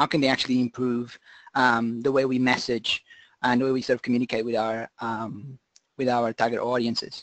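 Heard with a dry, close sound and no echo, a man talks at medium pitch in a monotone, flat intonation. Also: fairly quick pace. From Portugal, Lisbon. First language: Portuguese. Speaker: conservation scientist. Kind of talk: webinar lecture. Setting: online webinar.

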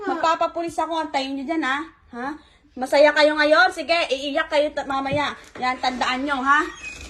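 Noticeable background noise sits behind the recording. A woman speaks at a high pitch with fairly even intonation. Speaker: betrayed spouse confronting. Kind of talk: heated argument, angry confrontation. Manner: shouting, furious, accusatory; fast, harsh, repeated scolding.

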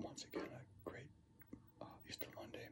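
A man's whisper. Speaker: home vlogger. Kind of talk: casual vlog chat. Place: home room.

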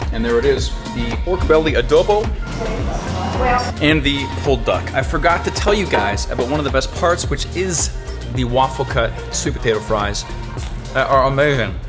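With clear music in the background, a man speaks at a moderate pace, leaving long, frequent pauses. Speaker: travel vlogger. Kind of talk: casual vlog chat. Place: cafe. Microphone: phone near.

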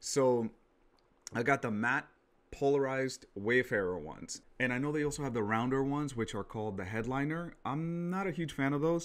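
The man keeps a fairly quick pace. Ordinary variation marks his pitch. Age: 30s. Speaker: tech product reviewer. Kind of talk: product review vlog. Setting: home studio. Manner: casual with frequent fillers. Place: home room. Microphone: studio mic.

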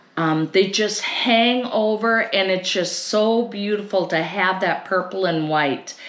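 Room echo is audible as a woman speaks at medium pitch and a fairly slow pace. Her pitch varies in an ordinary way.

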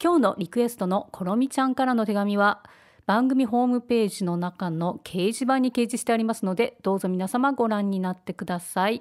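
Recorded very cleanly against a silent background, a woman with an ordinary speaking voice talks at a fairly quick pace and fairly high pitch with ordinary pitch variation. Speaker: podcast host. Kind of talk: scripted introduction and listener mail. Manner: gentle, whimsical.

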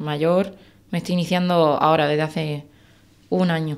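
A woman is heard here. Her voice sits fairly low in pitch. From Andalusia, Spain (Algeciras); Andalusia. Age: 20s. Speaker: wildlife biologist and hunter; podcast guest. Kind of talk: interview. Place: studio. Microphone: studio mic.

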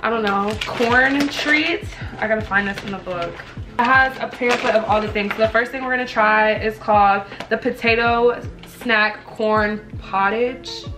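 Ordinary pitch variation over clear music in the background. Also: woman. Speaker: vlogger. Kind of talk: casual vlog chat. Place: home room. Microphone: camera far.

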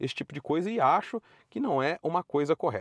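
A man's high pitch moves through very wide swings, in a dry sound with no echo. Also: quiet background. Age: 30s. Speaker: car YouTuber. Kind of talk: commentary video monologue. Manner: casual, conversational. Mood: opinionated, mildly critical. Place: car. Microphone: phone near.

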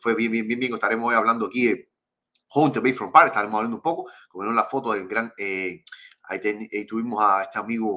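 A man at medium pitch, talking very fast in an animated, bright, sharp tone with ordinary pitch variation, over a quiet background. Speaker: fishing channel host. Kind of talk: live stream chat. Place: home room.

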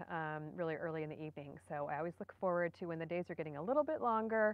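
Her pitch fairly low with ordinary variation, a woman speaks in a dry sound with no echo. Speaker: gardening channel host. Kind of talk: casual live stream chat. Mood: cheerful, relaxed. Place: garden. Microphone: phone near.

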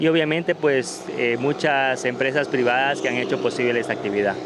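At a moderate pace and very even loudness, a man speaks with ordinary pitch variation in a dry sound with no echo, with noticeable background noise present. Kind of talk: interview answer. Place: street. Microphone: handheld.

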